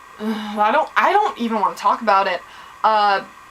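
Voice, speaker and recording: Her delivery is fairly slow. Noticeable background noise sits beneath the woman's words. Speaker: vlogger reviewing a TV episode. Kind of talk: casual recap vlog. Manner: animated.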